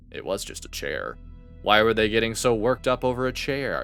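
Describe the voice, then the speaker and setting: Music plays in the background as a man talks at a medium pitch and moderate pace. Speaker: voice actor. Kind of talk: audiobook narration.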